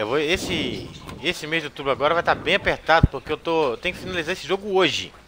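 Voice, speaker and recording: Over noticeable background noise, a man speaks at a very fast pace in an animated tone, his fairly high pitch showing ordinary variation. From Brazil, Minas Gerais (Belo Horizonte). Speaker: gaming streamer. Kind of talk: live gameplay commentary.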